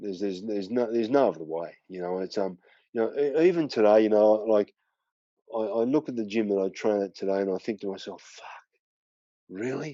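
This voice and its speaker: A man with an Australian accent, fairly low in pitch, at a fairly quick pace, with ordinary pitch variation and big swings in loudness. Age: 50s. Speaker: former kickboxing world champion. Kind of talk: podcast interview.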